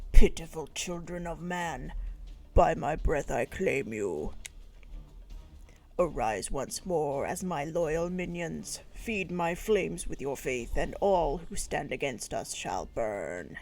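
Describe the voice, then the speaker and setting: Putting on a character voice, a man speaks at a high pitch and a fairly slow pace. Background noise is clear. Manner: menacing, commanding.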